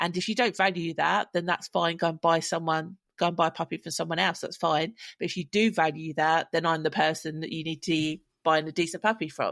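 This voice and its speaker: A woman talks at a fairly quick pace with a fairly low pitch. The background is quiet, and the sound is dry and close with no echo. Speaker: podcast co-host and dog breeder. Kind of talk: casual chat. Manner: loud; animated.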